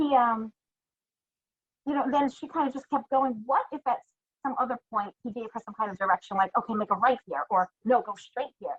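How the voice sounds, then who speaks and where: Talking at a moderate pace in a New York accent, a woman with a high pitch shows lively intonation and big swings in loudness. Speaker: listener co-host. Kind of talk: casual chat.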